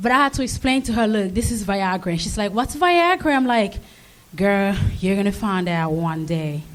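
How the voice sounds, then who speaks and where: With audible room echo, a woman speaks in an African accent at a medium pitch and moderate pace, her intonation lively. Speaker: amateur comedian. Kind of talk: stand-up. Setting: stage with live audience.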